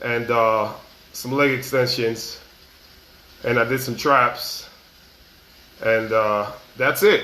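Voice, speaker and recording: A man talks very slowly at a medium pitch, with long, frequent pauses and fairly even intonation. Noticeable background noise and audible room echo fill the recording. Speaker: motivational vlogger. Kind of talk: casual motivational monologue. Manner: casual, repetitive.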